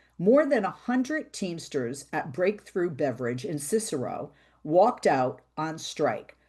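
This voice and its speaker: A dark, mellow tone in an American accent, fairly slow, with very wide pitch swings. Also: woman, fairly low pitch for a woman. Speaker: radio talk show host. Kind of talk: interview.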